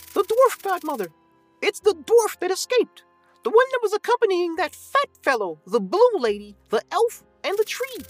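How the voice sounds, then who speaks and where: An extremely high put-on character voice speaks at a moderate pace with faint music in the background. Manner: eager, tattletale.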